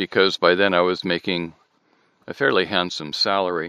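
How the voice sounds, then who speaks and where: Very deep, low-pitched male voice with a bright, sharp tone and an American accent, over a quiet background. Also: dry, close sound with no echo. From Michigan, US. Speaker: therapy client, voiceover artist. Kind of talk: therapy session, personal narrative.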